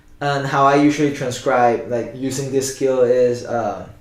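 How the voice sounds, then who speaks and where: A man speaks at a fairly slow pace in a monotone, flat intonation. Audible room echo surrounds his voice. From Spanish-speaking country, Cantonese-speaking family. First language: Spanish and Cantonese. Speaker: guitarist. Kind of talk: casual interview. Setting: sitting together in person. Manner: halting with fillers.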